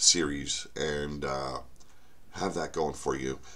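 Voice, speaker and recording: A man is speaking here. His pace is fairly slow. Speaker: author and channel host. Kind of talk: casual vlog update. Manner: halting, many fillers and repeats.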